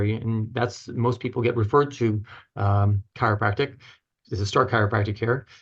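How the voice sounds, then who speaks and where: A man with a medium pitch and a somewhat breathy voice speaks against a quiet background. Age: 60s. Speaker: chiropractor and author. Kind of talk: podcast interview. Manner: halting.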